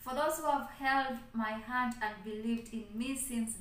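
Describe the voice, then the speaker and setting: At a fairly slow pace, a woman speaks with fairly even intonation. Audible room echo and light background noise can be heard. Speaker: channel host. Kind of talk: casual vlog chat. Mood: grateful and cheerful. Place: home room. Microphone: phone near.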